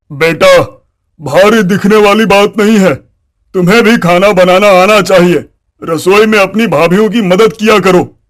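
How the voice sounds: Doing a cartoonish character voice, a man speaks fairly slowly at a high pitch, his intonation fairly even and his loudness very even.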